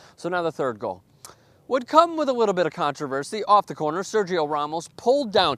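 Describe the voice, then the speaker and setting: An animated, high-pitched man at a fairly quick pace, pitch swinging very widely, in a dry, close sound with no echo. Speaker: sports show host. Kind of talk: casual match recap. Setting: outside the studio.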